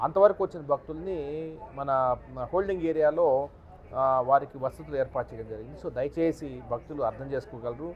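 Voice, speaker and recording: With a plain, everyday voice, a man talks at a fairly high pitch with ordinary pitch variation. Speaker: district official. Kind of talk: press statement to media. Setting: outdoors.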